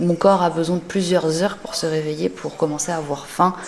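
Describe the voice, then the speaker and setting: Over noticeable background noise and audible room echo, a woman speaks in a fairly low, monotone voice with flat intonation. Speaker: lifestyle vlogger. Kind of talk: casual vlog narration. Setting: home garage gym.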